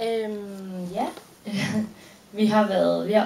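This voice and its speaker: Speaking at a fairly slow pace with a Danish accent, a woman is heard over light background noise and audible room echo. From Denmark. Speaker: film actress. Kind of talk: audience Q&A after a film screening. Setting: stage with audience at a cinema. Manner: hesitant, many fillers. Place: stage.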